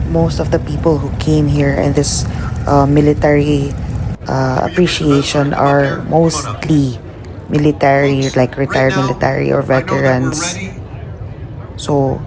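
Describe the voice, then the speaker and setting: Noticeable background noise runs beneath the speech. The delivery comes at a fairly slow pace. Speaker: travel vlogger. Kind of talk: vlog voiceover narration.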